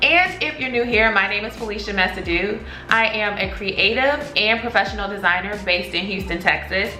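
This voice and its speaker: A woman with an American accent speaks in an animated tone at a moderate pace and fairly high pitch, using ordinary pitch variation and hardly any pauses. Audible room echo and noticeable background noise come through. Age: 30s. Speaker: graphic designer. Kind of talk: vlog.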